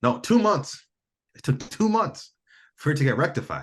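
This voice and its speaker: Speaking with an American accent, a man sounds animated and talks fairly quickly with vocal fry. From Michigan, US. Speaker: entrepreneur and physical therapist. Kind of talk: casual chat.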